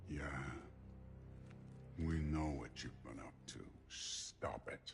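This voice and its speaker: A man growls in a put-on character voice. He goes at a very slow pace over clear background noise. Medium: video game. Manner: terse, gruff.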